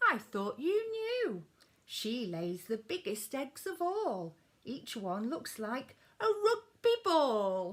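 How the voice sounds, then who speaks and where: A woman uses a put-on character voice at a high pitch, moving very slowly. Her very wide pitch swings come with audible hissing. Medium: read story.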